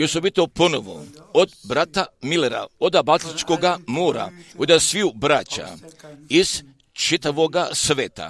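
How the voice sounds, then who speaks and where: The recording is dry and close with no echo as a man speaks at a fairly slow pace, his fairly high pitch showing ordinary variation and vocal fry. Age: 80s. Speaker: preacher. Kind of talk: sermon.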